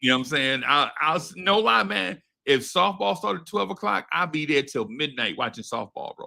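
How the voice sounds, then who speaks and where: In an American accent, a man with a fairly high pitch and a bright, sharp tone speaks at a moderate pace, his pitch swinging very widely. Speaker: podcast host. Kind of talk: casual chat. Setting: live stream. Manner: halting, repetitive.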